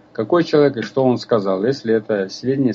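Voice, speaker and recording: Lively intonation marks this man's moderate-paced speech over light background noise. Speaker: folk culture researcher and author; radio co-host. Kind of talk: radio lecture with listener Q&A; radio talk lecture. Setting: live radio broadcast. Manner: halting, frequent filler sounds; formal. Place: studio.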